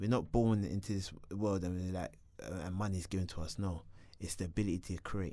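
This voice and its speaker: Speaking at a fairly quick pace with a South London accent, a man has a very deep, low pitch and a dark, mellow tone. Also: fairly even intonation. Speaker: reality TV contestant. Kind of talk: life story interview.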